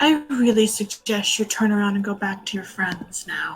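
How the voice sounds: Putting on a character voice, a woman speaks at medium pitch and a moderate pace.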